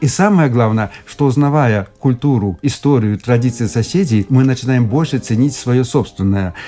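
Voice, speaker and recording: A man talks at a moderate pace in a dark, mellow tone, with hardly any pauses. His pitch varies in an ordinary way. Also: medium pitch for a man, very even loudness. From Belarus. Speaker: linguist, academician. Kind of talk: radio interview. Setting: studio.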